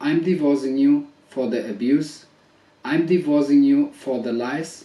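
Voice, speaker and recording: Noticeable background noise sits behind a man with a non-native accent. His fairly high voice moves at a fairly slow pace with fairly even intonation. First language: not English. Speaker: husband making a public statement. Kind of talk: personal video statement. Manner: hesitant, many fillers.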